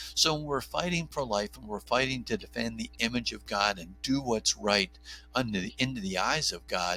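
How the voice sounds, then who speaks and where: A man with an American accent, fairly low in pitch with vocal fry and a bright, sharp tone, at a moderate pace with very wide pitch swings, on a very clean recording with a silent background. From New Jersey. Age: 50s. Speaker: OB/GYN doctor and pro-life advocate. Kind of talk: podcast interview.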